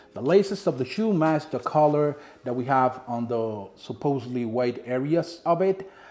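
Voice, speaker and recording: The speaker has a Dominican accent and lively intonation. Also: man. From Dominican Republic. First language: Spanish. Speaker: sneaker reviewer. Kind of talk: product review vlog. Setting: home apartment. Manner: casual, conversational.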